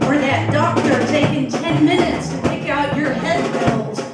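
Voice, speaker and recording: A woman at a fairly slow pace amid loud background noise and audible room echo. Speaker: spoken word poet. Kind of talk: live spoken word poetry performance. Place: stage. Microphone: camera far.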